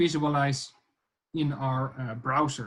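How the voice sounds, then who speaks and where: Somewhat breathy speech is heard. The delivery is fairly slow. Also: man. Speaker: lecturer. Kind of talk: online tutorial lecture. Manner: hesitant, many fillers.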